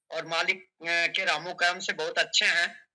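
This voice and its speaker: A man speaks in a raised, projected voice with a bright, sharp tone. His intonation stays monotone and flat. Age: 60s. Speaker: doctor giving a health testimonial. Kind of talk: testimony. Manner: halting.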